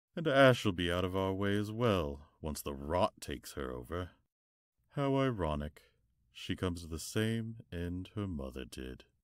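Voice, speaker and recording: At a moderate pace, a man does a cartoonish character voice with a very deep, low pitch on a very clean recording with a silent background. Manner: cold, gloating, menacing.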